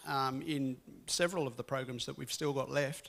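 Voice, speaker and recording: The speaker is a man. He talks with a slight English accent. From England, Birmingham. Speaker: guest speaker. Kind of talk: interview.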